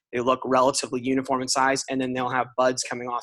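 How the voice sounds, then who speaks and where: Speaking at a very fast pace, a man has a bright, sharp tone. The sound is dry and close with no echo. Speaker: pathologist lecturer. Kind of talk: lecture.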